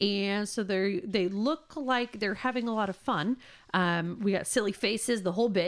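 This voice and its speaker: A woman speaks in a plain, everyday voice at a moderate pace. Her pitch sits in the middle range with ordinary variation. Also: very clean recording, silent background. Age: 30s. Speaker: podcast co-host. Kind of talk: casual chat.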